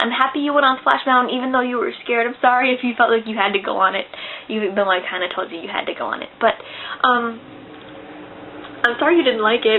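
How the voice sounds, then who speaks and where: Noticeable background noise sits under a woman's high voice, which has ordinary pitch variation. She talks very fast yet leaves long, frequent pauses. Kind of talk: casual talk to camera.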